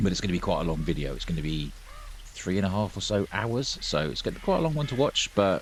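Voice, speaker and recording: Here is a man with a British accent. He talks at a fairly quick pace. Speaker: gaming YouTuber. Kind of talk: let's play commentary. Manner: subdued, quieter than usual.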